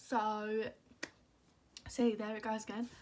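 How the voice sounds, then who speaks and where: In a British accent, a woman talks with a fairly high pitch. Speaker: beauty vlogger. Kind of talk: casual chat. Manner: animated.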